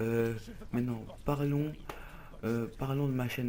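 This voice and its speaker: A man talks in a medium pitch with fairly even intonation. Audible room echo and noticeable background noise surround his voice. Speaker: gaming youtuber. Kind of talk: let's play commentary. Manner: fast; loud.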